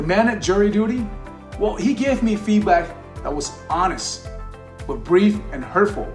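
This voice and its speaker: Over music in the background, a man with a high pitch speaks at a moderate pace, pausing long and often. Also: ordinary pitch variation. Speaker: leadership coach. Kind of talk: talk to camera on leadership.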